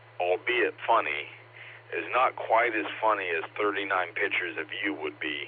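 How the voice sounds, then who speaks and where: Noticeable background noise surrounds speech delivered at a moderate pace. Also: man. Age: 40s. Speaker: amateur radio operator. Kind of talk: casual chat.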